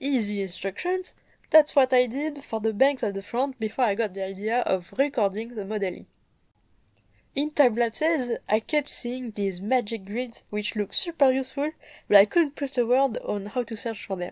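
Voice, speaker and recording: On a very clean, dry, close recording with a silent background and no echo, a woman with a strong French accent speaks at a moderate pace in a fairly high, upbeat voice with lively intonation. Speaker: 3D modeling hobbyist, content creator. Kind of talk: tutorial vlog narration. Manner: casual, upbeat.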